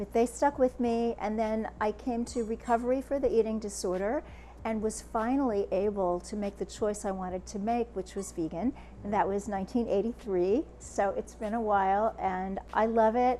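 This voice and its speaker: Here a woman speaks with an American accent. Her pace is moderate. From United States. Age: 60s. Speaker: author and speaker. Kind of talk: interview.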